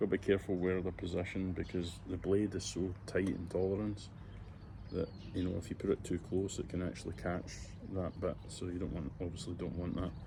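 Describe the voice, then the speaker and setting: In a Scottish accent, a man talks fairly quickly with very deep, low pitch and vocal fry. His tone is dark and mellow, his intonation monotone and flat. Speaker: lawn care DIY youtuber. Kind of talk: tutorial. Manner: casual, hesitant with fillers.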